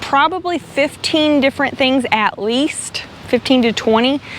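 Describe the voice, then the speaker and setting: Noticeable background noise sits behind a woman speaking with a Southern US accent. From Arkansas. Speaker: travel vlogger. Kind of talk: casual chat. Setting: outdoors.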